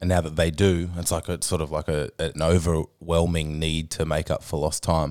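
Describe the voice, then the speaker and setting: With an Australian accent, a man speaks at a very deep, low pitch in a monotone, flat intonation at a moderate pace with hardly any pauses, in a very clean recording with a silent background. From Tasmania, Australia. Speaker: podcast host and fitness trainer. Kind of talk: casual chat. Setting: studio.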